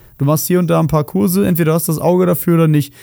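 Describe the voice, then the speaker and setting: A man's voice sits fairly high in pitch, its tone dark and mellow. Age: 30s. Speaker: podcast co-host. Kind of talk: casual chat.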